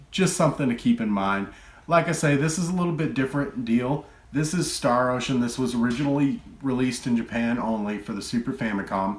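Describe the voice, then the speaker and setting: A man with a Texan accent talks at a fairly quick pace, his medium-pitched voice full of lively intonation. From Texas. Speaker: retro game collector YouTuber. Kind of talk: casual collection show-and-tell. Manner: relaxed, filler-heavy.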